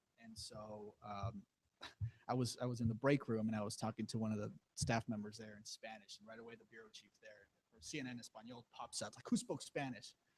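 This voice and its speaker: A man with an American accent talks at a fairly quick pace in a somewhat breathy voice, with fairly even intonation, big swings in loudness, and a dry, close sound with no echo. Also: medium pitch for a man. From Rio Grande Valley, Texas. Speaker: TV news reporter. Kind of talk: panel Q&A with students. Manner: halting, many false starts.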